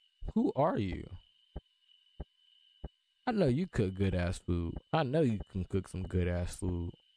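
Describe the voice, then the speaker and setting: A man's very deep, low voice at a fairly slow pace with long, frequent pauses, dry with no echo. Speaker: gaming commentator. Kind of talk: casual gameplay commentary. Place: home room.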